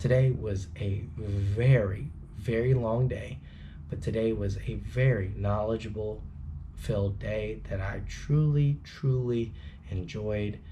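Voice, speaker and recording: Someone whispers at a very slow pace, somewhat breathy, with audible room echo. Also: man. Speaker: trucking student vlogger. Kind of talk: casual vlog talk. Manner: whispering.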